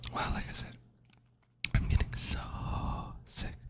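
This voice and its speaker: A man whispers at a moderate pace over loud background noise. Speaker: ASMR creator. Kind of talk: casual vlog chat, soft ASMR talk. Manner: stuffy-nosed ASMR whisper. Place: home room. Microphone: studio mic.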